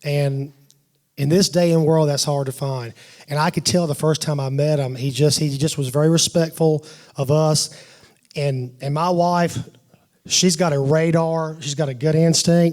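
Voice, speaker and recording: A man's fairly high voice at a moderate pace and fairly even intonation, in a very clean recording with a silent background. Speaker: father of the bride giving a wedding toast. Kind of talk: wedding toast. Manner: loud, voice carries; halting, many restarts and fillers.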